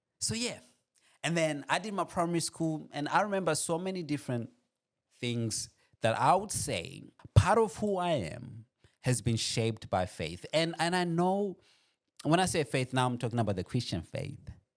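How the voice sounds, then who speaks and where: An animated man with a slight Burundian accent, a fairly high pitch, very wide pitch swings and a moderate pace. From Burundi, later Australia. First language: not English. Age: 30s. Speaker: podcast host. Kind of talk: motivational personal story monologue.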